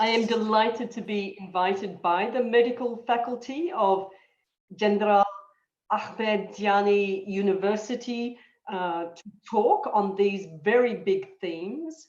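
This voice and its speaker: In an Australian accent, a woman with a fairly high pitch talks at a fairly slow pace with ordinary pitch variation, and room echo is audible. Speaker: disaster management expert, guest lecturer. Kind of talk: lecture. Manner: halting, many fillers.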